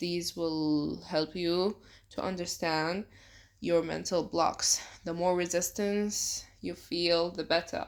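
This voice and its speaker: Monotone, flat delivery at a very slow pace, in a very clean recording with a silent background. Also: woman. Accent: non-native. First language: not English. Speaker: self-help youtuber. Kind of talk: tutorial. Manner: casual.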